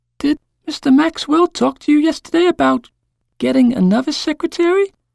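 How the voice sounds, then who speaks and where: In a put-on character voice, a female-sounding speaker uses a high pitch and a gentle tone at a fairly quick pace. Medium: read story. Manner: polite, gentle.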